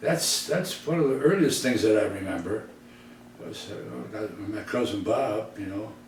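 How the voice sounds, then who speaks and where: Over noticeable background noise and audible room echo, a man with an American accent speaks at a moderate pace and medium pitch, his intonation lively and his loudness swinging widely. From US Midwest, Detroit. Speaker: entertainer. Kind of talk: casual reminiscing interview.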